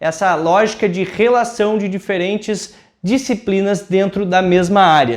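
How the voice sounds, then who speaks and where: This man has a high pitch and speaks at a fairly slow pace with ordinary pitch variation. The background is quiet. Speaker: teacher. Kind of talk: lecture. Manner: informal, conversational.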